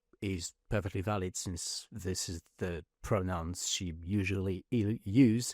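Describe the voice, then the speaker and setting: A man with a fairly low voice and a slight French accent, very slow pace, ordinary pitch variation, on a very clean recording with a silent background. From France. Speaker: podcast host. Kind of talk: casual podcast interview. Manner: hesitant, many fillers.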